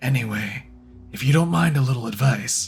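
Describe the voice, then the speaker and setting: Over music in the background, a man does a raspy, put-on character voice at a medium pitch. His intonation is lively and his pace moderate. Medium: fan dub. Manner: cryptic, playful.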